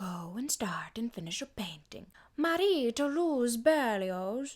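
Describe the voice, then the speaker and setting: A woman puts on a soft-spoken character voice with a fairly high pitch. She talks at a fairly slow pace. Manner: soft, quiet, rhythmic, lilting.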